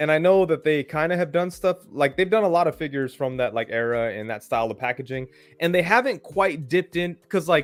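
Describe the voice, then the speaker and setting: In an unremarkable speaking voice, a man talks at a fairly quick pace in a fairly high pitch with lively intonation, on a very clean recording with a silent background. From Windsor, Ontario, Canada. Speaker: toy customizer and live stream host. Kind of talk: casual chat.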